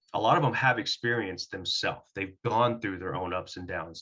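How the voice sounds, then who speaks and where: A bright, sharp-toned man with an American accent and ordinary pitch variation, in a quiet background. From Oklahoma, US (Durant area). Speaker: firefighter paramedic. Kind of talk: interview. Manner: articulate.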